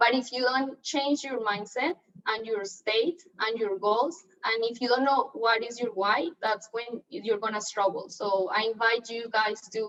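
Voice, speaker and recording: With a Colombian accent, a woman speaks at a fairly slow pace in a fairly high pitch with a bright, sharp tone. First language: Spanish. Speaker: real estate agent. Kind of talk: training talk.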